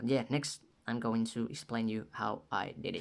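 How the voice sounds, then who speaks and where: With a non-native accent, a man speaks at a fairly slow pace and ordinary pitch variation. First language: not English. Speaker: music production tutorial maker. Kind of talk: tutorial; casual tutorial. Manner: casual, with fillers and repetitions. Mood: playful, joking. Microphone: phone near.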